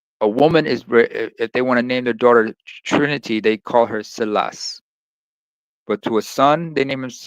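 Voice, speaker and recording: In an Eritrean accent, a man speaks at a moderate pace and medium pitch with ordinary pitch variation, the sound dry and close with no echo. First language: Tigrinya. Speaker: live stream host. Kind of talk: casual chat.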